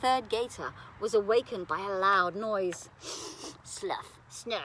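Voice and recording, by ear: Reading aloud in a natural voice, the pitch shifting in an ordinary way.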